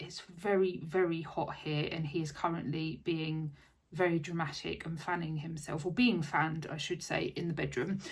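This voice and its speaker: In an Essex accent, a woman with a fairly low pitch and a somewhat breathy voice speaks at a moderate pace. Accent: southern English (Essex). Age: 30s. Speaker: craft vlogger. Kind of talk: casual chat. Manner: rambling, hesitant with fillers.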